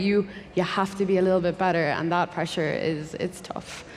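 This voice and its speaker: A woman's voice with a Dublin accent and fairly even intonation. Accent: Irish (Dublin). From Ireland (Dublin). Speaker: software engineer. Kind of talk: panel discussion.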